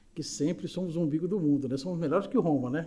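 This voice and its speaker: Amid audible room echo, a man speaks in a somewhat breathy, dark, mellow tone. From Brazil, Recife (Pernambuco). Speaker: spiritist lecturer. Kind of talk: lecture. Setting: spiritist center, live audience and YouTube stream.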